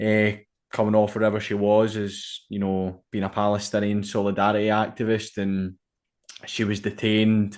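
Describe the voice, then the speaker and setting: Over a quiet background, a man with a fairly low voice speaks at a moderate pace in a monotone, flat intonation. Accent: Glaswegian. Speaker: podcast host. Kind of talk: podcast interview.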